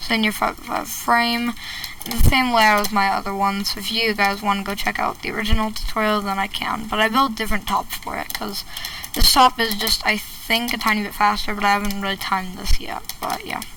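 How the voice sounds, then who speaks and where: A woman talks at a fairly quick pace in a fairly high, monotone voice. Noticeable background noise runs under her words. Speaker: Minecraft redstone tutorial creator. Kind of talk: tutorial. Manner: casual, halting with fillers.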